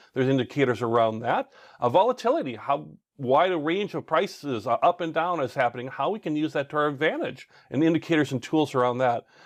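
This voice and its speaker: Very fast and enthusiastic, a man talks with lively intonation over a quiet background in a dry, close sound with no echo. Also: fairly high pitch for a man. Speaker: online trading course instructor. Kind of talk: course lecture.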